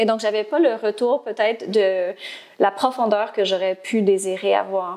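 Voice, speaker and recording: A woman with a medium pitch speaks at a fairly slow pace. Her intonation is fairly even and her loudness very even. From Ontario, Canada (Franco-Ontarian). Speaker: speech-language pathologist and platform founder. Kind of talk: interview. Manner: hesitant, many filler words.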